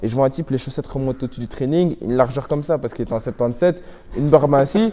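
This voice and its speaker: A man speaks at a fairly high pitch. His tone is dark and mellow. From Belgium. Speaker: MMA fighter. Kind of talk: interview. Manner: animated.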